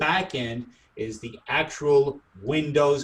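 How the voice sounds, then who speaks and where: A man's fairly high voice comes out somewhat breathy. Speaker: product trainer. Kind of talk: training webinar.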